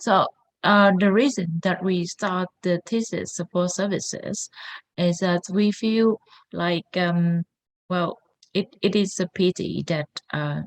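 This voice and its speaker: In a non-native accent, a woman speaks at a very slow pace with a medium pitch and fairly even intonation, the sound dry and close with no echo. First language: not English. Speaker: founder of a thesis support academy. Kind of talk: workshop presentation. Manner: halting, many fillers.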